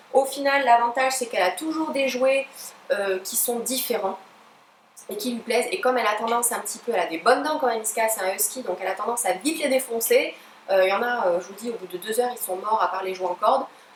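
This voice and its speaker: A woman at a fairly high pitch and very fast pace, with noticeable background noise. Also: ordinary pitch variation. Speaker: pet YouTuber. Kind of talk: unboxing review. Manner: hesitant, many fillers.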